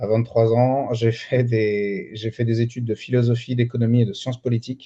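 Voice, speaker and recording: A man's dark, mellow tone at a fairly slow pace. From France, Lyon. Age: 30s. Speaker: real estate dealer and trainer. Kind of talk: interview.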